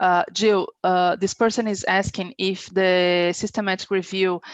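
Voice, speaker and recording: Speaking with a Portuguese accent, a woman has a medium-pitched voice. The sound is dry and close with no echo, over a quiet background. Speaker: webinar moderator. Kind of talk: webinar Q&A.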